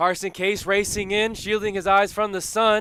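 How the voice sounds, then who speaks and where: At a moderate pace, this raised, projected voice carries a bright, sharp tone. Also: man. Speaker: sports broadcaster. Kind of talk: baseball play-by-play commentary. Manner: excited, energetic.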